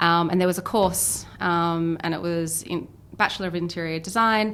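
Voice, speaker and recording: In a slight Australian accent, a woman talks at a moderate pace in a fairly low pitch with fairly even intonation, amid audible room echo. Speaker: business founder and CEO. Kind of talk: podcast interview.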